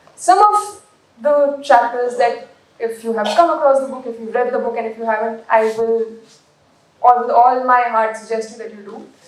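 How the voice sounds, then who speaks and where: In a room with audible echo, a woman speaks at a moderate pace in a high voice with fairly even intonation and big swings in loudness. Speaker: book editor. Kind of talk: speech at book launch.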